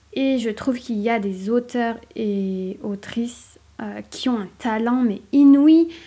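A woman's fairly high, dark and mellow voice at a very slow pace, with ordinary pitch variation, on a very clean recording with a silent background. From southern France. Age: 30s. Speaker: author and podcaster. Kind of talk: casual solo podcast monologue. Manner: hesitant, many fillers.

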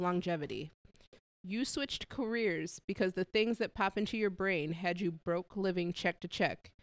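A woman's unremarkable speaking voice at a medium pitch, with ordinary pitch variation, a moderate pace, and a dry, close sound with no echo. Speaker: podcast co-host. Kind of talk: casual chat.

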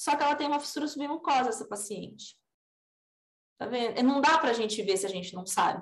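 A woman speaks at a high pitch with very wide pitch swings. Audible room echo surrounds her voice. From São Paulo state, Brazil (raised in Assis). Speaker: orthodontist. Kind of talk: podcast interview.

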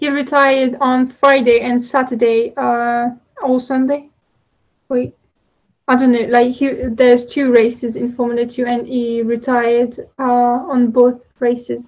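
A woman speaks fairly slowly in a high-pitched, flat monotone. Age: 20s. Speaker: podcast co-host. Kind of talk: casual chat. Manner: halting.

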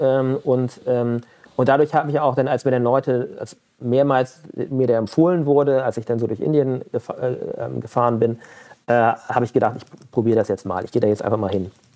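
A man of medium pitch at a moderate pace. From Germany, Mönchengladbach (Lower Rhine). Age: 40s. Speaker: entrepreneur. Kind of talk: interview. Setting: video call. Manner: halting, many fillers.

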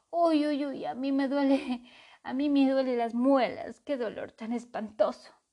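Putting on a whiny character voice, a woman speaks at a high pitch and a moderate pace. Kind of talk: storytelling. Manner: whining, lamenting in pain.

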